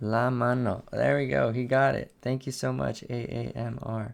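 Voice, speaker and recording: The very clean recording captures a man with an American accent over a silent background. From United States. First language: Spanish. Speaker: cursive handwriting educator and artist. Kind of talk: live-stream handwriting practice with chat. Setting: live stream.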